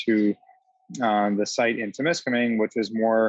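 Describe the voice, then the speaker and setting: This man speaks at a medium pitch with a Canadian accent. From small-town northern Ontario, Canada. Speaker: HR and immigration consultant. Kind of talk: presentation. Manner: fast.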